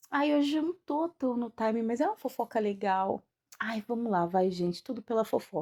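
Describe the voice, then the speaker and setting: Dark, mellow tone with lively intonation at a moderate pace, in a dry, close sound with no echo. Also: woman, fairly high pitch for a woman. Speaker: occult teacher and podcaster. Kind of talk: casual monologue.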